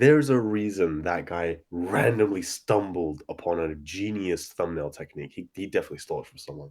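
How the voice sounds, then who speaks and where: A man's very deep, low voice with a British accent, animated in tone with lively intonation and big swings in loudness, at a fairly quick pace with hardly any pauses, on a very clean recording with a silent background. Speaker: regular podcast guest, YouTuber. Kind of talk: casual chat.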